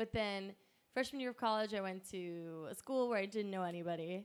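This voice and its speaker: With an American accent and a normal speaking voice, a woman talks at a fairly quick pace, her medium pitch showing ordinary variation. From Pennsylvania. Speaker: stand-up comedian. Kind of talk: casual chat.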